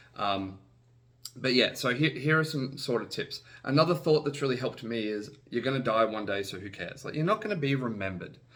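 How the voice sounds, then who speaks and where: Lively in intonation, a man at a medium pitch talks at a fairly quick pace. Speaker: vlogger sharing personal advice. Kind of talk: casual talk to camera. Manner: fast; hesitant, repeats words.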